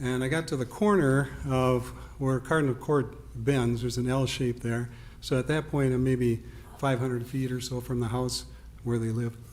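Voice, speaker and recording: A man talks in an unremarkable speaking voice at a medium pitch. He keeps a moderate pace and fairly even intonation. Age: 60s. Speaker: resident giving public comment. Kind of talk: public comment at village board meeting.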